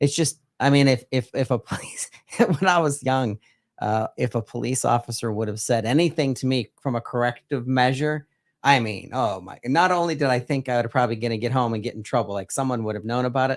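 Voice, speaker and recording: With an American accent, a man has an unremarkable speaking voice at medium pitch with ordinary pitch variation, recorded very cleanly against a silent background, dry and close with no echo. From western Pennsylvania, Butler County. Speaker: podcast host. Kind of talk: casual interview.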